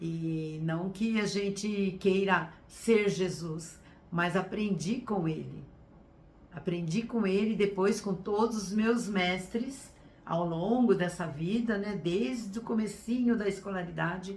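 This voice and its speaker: In a room with audible echo, a somewhat breathy woman speaks at a very slow pace with medium pitch and ordinary pitch variation. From Brazil, São Paulo state (Sorocaba). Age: 60s. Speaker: teacher and workshop speaker. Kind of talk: online workshop talk. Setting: live stream.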